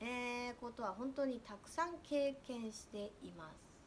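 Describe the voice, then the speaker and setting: A woman speaks in an animated tone, her intonation lively and full of movement. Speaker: spiritual coach. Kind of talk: casual monologue. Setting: at home.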